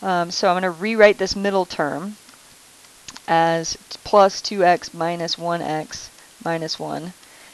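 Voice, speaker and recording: Against noticeable background noise, a woman with a fairly low pitch speaks fairly slowly and evenly, pausing long and often. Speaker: math teacher. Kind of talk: recorded lesson tutorial.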